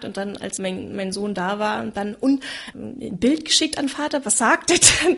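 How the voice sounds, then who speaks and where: Over noticeable background noise, a woman with a fairly high voice speaks fairly slowly, her loudness swinging in big jumps. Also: lively intonation. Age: 30s. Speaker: single mother sharing her experience. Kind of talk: personal testimony in a conversation.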